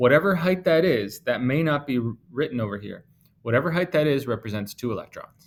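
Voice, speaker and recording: Here is a man with an unremarkable speaking voice and fairly high pitch. He talks at a fairly quick pace with lively intonation. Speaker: chemistry teacher. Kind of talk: lecture. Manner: casual.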